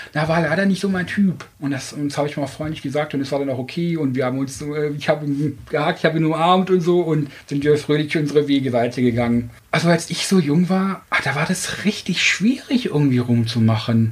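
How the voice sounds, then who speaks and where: A man speaks at a fairly quick pace in a somewhat breathy voice. His pitch is fairly high and varies in an ordinary way. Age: 40s. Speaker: dating podcast guest. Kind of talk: casual interview.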